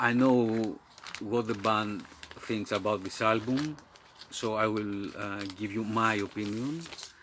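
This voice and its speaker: A man's fairly low voice in a Greek accent, very slow and fairly even in intonation, over noticeable background noise. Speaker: metal music YouTuber. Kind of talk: casual video monologue. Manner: halting, many fillers.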